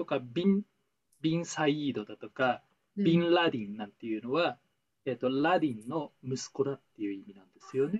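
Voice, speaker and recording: With a normal speaking voice, a man talks at a fairly quick pace and fairly high pitch, his intonation lively and his loudness swinging widely, in a dry, close sound with no echo. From Taiwan. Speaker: former trading company employee. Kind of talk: casual chat.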